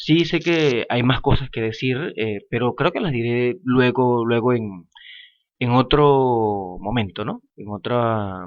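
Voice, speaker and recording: Talking at a very slow pace, a man uses a medium pitch with ordinary pitch variation. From Venezuela, Falcón. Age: 20s. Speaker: podcaster, lawyer. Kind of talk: casual monologue podcast. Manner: hesitant, many fillers.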